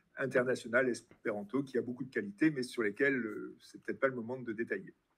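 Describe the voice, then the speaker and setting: Talking at a very fast pace, a man keeps a medium pitch and fairly even intonation while his loudness swings widely. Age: 60s. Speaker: retired biology teacher and party president. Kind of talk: interview. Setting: live-streamed event with audience.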